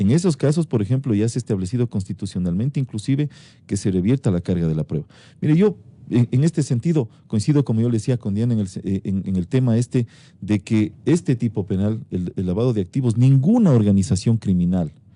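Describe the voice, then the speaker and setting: This man speaks at a fairly quick pace, his tone dark and mellow and his intonation lively. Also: medium pitch for a man. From Ecuador. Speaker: interviewed prosecutor general. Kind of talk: radio interview answer.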